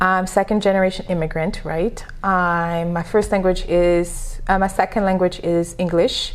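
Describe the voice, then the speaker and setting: A moderate pace with hardly any pauses, in a French accent. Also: woman, medium pitch for a woman. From Senegal. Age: 30s. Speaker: entrepreneur and business coach. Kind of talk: podcast interview. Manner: animated.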